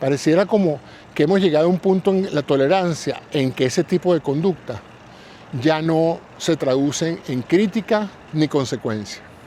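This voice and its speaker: A man talks at a moderate pace in a fairly high pitch with ordinary pitch variation. Noticeable background noise runs behind him. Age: 70s. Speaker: podcast host. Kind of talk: solo reflective monologue. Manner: conversational, reflective.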